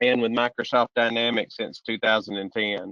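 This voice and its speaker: A man with a strong Southern US accent speaks at a moderate pace. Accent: deep Southern US. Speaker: solution strategist presenting a software webcast. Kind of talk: webcast presentation. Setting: online webcast.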